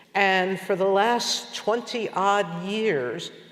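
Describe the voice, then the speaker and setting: Audible room echo hangs on the recording. The man speaking uses ordinary pitch variation. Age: 60s. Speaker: journalist and news producer. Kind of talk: public interview on stage.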